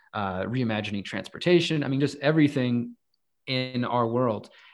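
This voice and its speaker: A man with an American accent, an ordinary speaking voice, medium pitch and moderate pace. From Texas, Houston. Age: 30s. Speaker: activist and journalist. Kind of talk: podcast interview.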